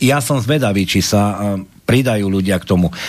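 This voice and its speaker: This man has a plain, everyday voice, fairly low in pitch. He talks at a moderate pace with ordinary pitch variation. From Košice, eastern Slovakia. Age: 50s. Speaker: security manager, political movement member. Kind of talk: political talk show discussion.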